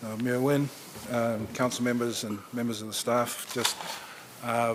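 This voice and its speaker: A man with a New Zealand accent, medium pitch, monotone, flat intonation and a fairly slow pace, amid noticeable background noise and audible room echo. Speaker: nonprofit regional director. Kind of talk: presentation. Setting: council chambers.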